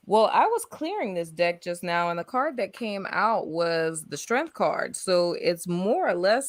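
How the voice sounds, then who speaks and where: A woman with a New Orleans accent speaks at a fairly slow pace in a fairly low, bright and sharp voice with an animated tone. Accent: New Orleans Southern US. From US South, New Orleans. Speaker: tarot reader. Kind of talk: live stream tarot reading.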